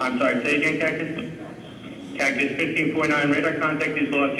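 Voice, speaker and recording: Amid light background noise and audible room echo, a man with a fairly high pitch talks at a fairly quick pace. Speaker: air traffic controller. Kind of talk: radio communication. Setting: radio line. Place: booth.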